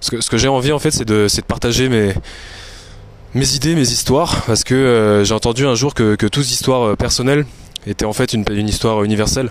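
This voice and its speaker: A man with fairly even intonation talks fairly quickly amid noticeable background noise. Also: medium pitch for a man. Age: 30s. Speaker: fitness coach and podcaster. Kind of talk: solo monologue recorded on phone. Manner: hesitant, many fillers and repetitions.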